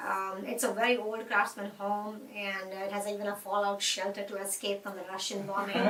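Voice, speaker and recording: A woman with an Indian accent speaks at a moderate pace in a medium pitch, her intonation flat and monotone, with hardly any pauses. Noticeable background noise runs under her voice. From India, Mumbai. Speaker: interviewee. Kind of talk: interview.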